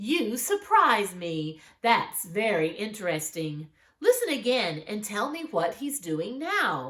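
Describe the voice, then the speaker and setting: A woman puts on a character voice at a fairly high pitch, with very wide pitch swings. She talks at a fairly slow pace with hardly any pauses. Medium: read story.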